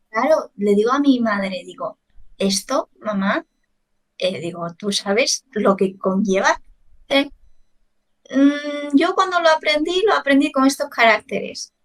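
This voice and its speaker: Pitched high, a woman speaks at a fairly slow pace with very wide pitch swings and long, frequent pauses, in a dry, close sound with no echo. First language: Chinese (speaking Spanish). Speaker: language teacher. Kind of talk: casual chat.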